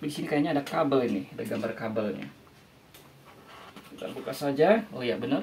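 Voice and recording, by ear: A man speaks fast with lively intonation. His medium-pitched voice has a slightly mellow tone.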